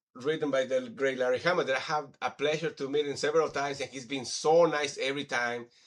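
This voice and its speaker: A man's fairly high-pitched voice at a very fast pace with hardly any pauses. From Mexico. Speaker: podcast host. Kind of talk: casual chat. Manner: animated.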